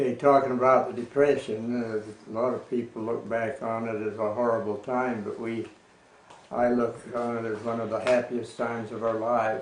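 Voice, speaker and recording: Speaking with an American accent, a man holds a medium pitch in a monotone, flat delivery. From Wellsville, USA. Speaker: grandfather recounting life story. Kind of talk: oral history interview answer. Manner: slow, reminiscent.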